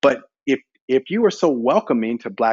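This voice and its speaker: An ordinary speaking voice at a fairly slow pace, with an American accent. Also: man. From US South (Shreveport, Louisiana). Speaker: inclusion executive. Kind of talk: podcast conversation.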